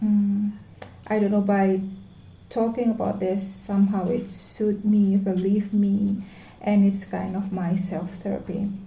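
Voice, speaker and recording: A woman's somewhat breathy, dark, mellow voice at a medium pitch, monotone and flat, at a fairly slow pace in audible room echo. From Indonesia. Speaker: vlogger. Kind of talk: personal vlog monologue. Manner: halting.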